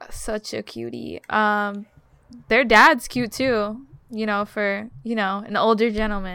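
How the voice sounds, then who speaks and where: In a very clean recording with a silent background, a woman with a fairly high pitch and a bright, sharp tone talks at a very slow pace with fairly even intonation. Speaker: podcast guest. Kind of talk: casual chat.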